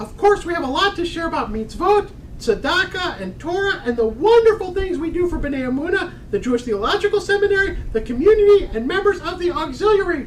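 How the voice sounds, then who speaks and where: A woman's put-on character voice, extremely high-pitched with very wide pitch swings, fairly quick with hardly any pauses, over clear background noise. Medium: stage play. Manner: prim, formal.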